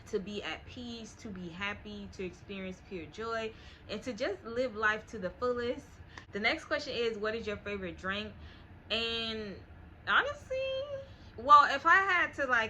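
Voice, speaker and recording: Against noticeable background noise, a woman speaks at a fairly slow pace with long, frequent pauses, lively intonation and big swings in loudness. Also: fairly high pitch for a woman. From US South, Miami, Florida. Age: 20s. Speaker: lifestyle YouTuber. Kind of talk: casual Q&A vlog.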